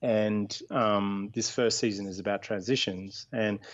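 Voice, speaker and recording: Over a quiet background, a man with an Australian accent speaks at a moderate pace in a fairly low, monotone, flat voice. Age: 40s. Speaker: charity co-founder and former army officer. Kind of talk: radio interview. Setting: Skype call. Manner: halting, many fillers.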